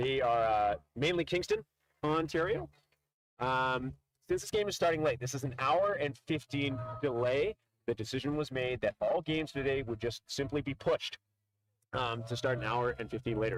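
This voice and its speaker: Speaking at a fairly quick pace, a man has an unremarkable speaking voice at a medium pitch with ordinary pitch variation, captured in a dry, close sound with no echo. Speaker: sports commentator. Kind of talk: live commentary.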